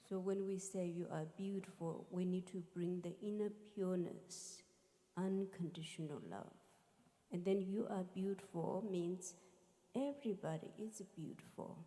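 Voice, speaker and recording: The speech comes at a fairly slow pace. It carries a non-native accent. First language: not English. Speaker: musician and spiritual teacher. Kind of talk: talk to a live audience.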